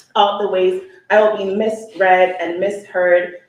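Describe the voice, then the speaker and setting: A woman speaks in a monotone, flat intonation with audible room echo. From Oakland, California, Sierra Leonean family. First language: Sierra Leonean Creole (Krio). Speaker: poet and educator. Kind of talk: poetry reading. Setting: live event with audience.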